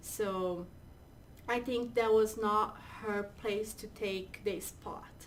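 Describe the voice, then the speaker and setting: A woman with a Portuguese accent speaks very slowly at a fairly high pitch, her intonation monotone and flat. Her loudness swings widely, and the room echo is audible. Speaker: co-host. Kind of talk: casual chat.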